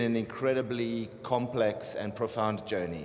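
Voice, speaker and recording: In a room with audible echo, a man with a South African accent and a medium pitch talks at a fairly slow pace with ordinary pitch variation. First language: Afrikaans. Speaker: artist. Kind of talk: panel talk. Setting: stage with audience, microphone.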